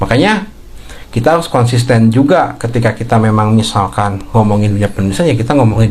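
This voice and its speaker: A man's medium-pitched voice carries through audible room echo and noticeable background noise. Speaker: writing coach and content creator. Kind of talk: live stream talk. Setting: live stream. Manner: halting.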